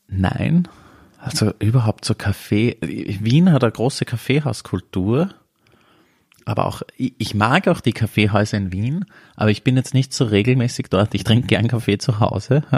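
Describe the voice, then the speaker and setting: In a dry, close sound with no echo, a somewhat breathy man speaks at a moderate pace. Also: medium pitch for a man, ordinary pitch variation, very clean recording, silent background. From Upper Austria, rural near Wels. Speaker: podcast co-host. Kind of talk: casual chat.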